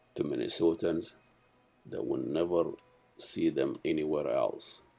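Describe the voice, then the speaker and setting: There is music playing behind a man as he speaks. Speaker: TV show host. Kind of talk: show introduction narration.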